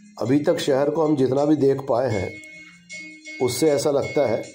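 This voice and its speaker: Over music in the background, a man speaks at a fairly slow pace. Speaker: travel vlog narrator. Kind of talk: travel narration.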